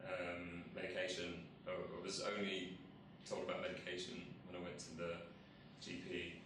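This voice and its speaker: Through noticeable background noise and audible room echo, a man speaks at a moderate pace with long, frequent pauses. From England, northwest London (Harrow). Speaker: mental health campaigner. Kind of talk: testimony. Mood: calm, reflective. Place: office.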